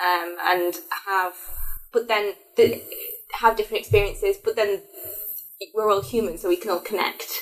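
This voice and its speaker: A woman with a Lancashire accent at a moderate pace, music in the background. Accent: northern English, Lancashire area. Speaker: higher education engagement assistant. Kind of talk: casual chat. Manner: halting, many fillers.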